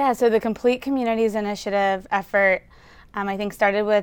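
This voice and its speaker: This is a woman with an American accent, a normal speaking voice and medium pitch. Her intonation is fairly even and her pace moderate, on a very clean recording with a silent background. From Louisiana, US South (Baton Rouge). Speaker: architect. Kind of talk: interview.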